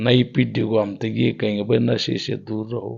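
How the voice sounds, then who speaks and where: A man talks with vocal fry. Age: 70s. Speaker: folk ragni singer. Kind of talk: interview.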